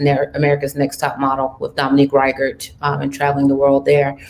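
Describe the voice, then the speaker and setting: Monotone, flat intonation at a fairly quick pace over noticeable background noise. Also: woman. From Cameroon and France (Paris). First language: French. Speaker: entertainment management executive. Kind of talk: panel discussion.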